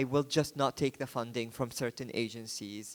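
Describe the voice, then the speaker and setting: A man at a moderate pace with ordinary pitch variation, on a very clean recording, silent background. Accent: non-native. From Yemen. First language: Arabic. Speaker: photographer and book publisher. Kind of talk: book presentation talk. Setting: art book fair stand. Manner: hesitant, with fillers and restarts.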